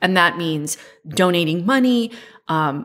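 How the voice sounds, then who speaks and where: A woman talks in a normal speaking voice. Her pitch is fairly low and her pace fairly slow. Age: 40s. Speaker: podcast co-host. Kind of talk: casual chat.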